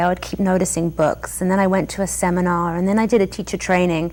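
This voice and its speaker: With an English accent, a woman speaks in a fairly low pitch at a fairly quick pace. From England. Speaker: yoga studio owner and teacher. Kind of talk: interview.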